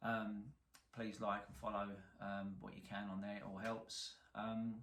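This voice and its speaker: With a strong London accent, a man speaks at a fairly slow pace and a fairly low pitch. His intonation is fairly even, and there is audible room echo. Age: 40s. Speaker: car salvage repairer, YouTuber. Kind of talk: casual to-camera introduction.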